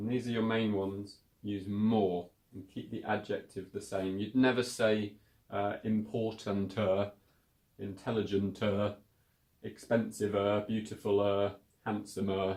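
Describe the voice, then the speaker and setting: Monotone, flat delivery at a fairly slow pace, with a British accent. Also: man, fairly low pitch for a man. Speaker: English teacher. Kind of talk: English lesson to camera. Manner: casual, clear.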